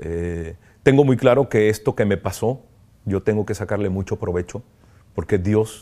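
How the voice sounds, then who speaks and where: With a dark, mellow tone, a man speaks at a moderate pace with ordinary pitch variation against a quiet background. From Tijuana, northern Mexico; northern Mexico. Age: 50s. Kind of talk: interview testimony. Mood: reflective, emotional, grateful. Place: home room. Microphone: lapel.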